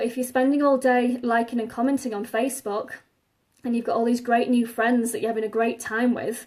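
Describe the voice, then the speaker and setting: A woman's high voice in an English accent, fairly quick, with monotone, flat intonation. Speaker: online marketing coach. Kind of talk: live stream talk. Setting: Facebook Live video.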